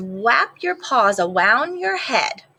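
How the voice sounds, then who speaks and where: A woman's put-on character voice, squeaky and fairly high, with very wide pitch swings. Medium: read story. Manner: timid, lisping.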